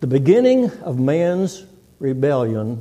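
A man's very slow, lively intonation amid audible room echo. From Texas. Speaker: visiting preacher. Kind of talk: sermon. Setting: church.

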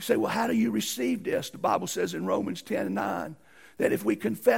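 This is an unforced reading voice. It reads the text.

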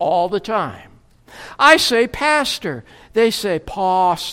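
At a very slow pace, a woman speaks at a medium pitch with very wide pitch swings. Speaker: preacher. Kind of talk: sermon. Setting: church.

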